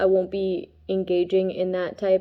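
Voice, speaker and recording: This woman's voice sits at a medium pitch. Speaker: tarot reader and spiritual vlogger. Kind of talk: casual monologue vlog. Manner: fast; halting, many fillers.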